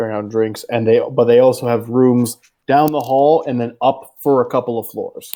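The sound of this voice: The clip is an unforced reading voice with ordinary pitch variation. The background is quiet.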